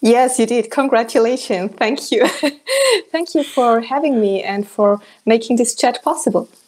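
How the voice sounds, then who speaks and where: In a German accent, a woman speaks at a high pitch and a moderate pace with ordinary pitch variation. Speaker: coach. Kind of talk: interview.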